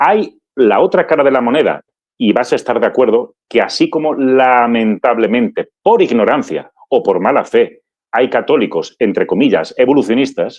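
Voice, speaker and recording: A man speaking at a moderate pace, his loudness very even. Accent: Andalusian. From Andalusia, Málaga. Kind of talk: interview testimony.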